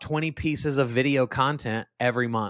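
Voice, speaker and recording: In a very clean recording with a silent background, a man speaks in an animated tone at a moderate pace with ordinary pitch variation. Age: 40s. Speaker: business coach and public speaker, former youth pastor. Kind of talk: casual chat.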